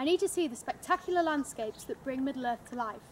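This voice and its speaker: Speaking in a Yorkshire accent, a woman talks at a high pitch and a fairly quick pace, with lively intonation. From Yorkshire, northern England. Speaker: fan making a contest entry video. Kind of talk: scripted narration.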